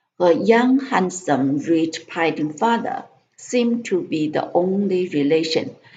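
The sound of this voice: The speaker reads in an unforced reading voice whose intonation is lively.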